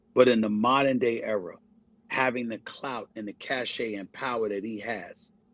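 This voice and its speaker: At a moderate pace comes a normal speaking voice. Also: man. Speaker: sports journalist and commentator. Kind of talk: interview answer.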